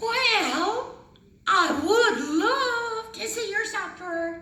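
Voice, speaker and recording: A woman's cartoonish character voice, squeaky and extremely high, with lively intonation, a very slow pace and slight echo. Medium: puppet show. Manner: coy, genteel.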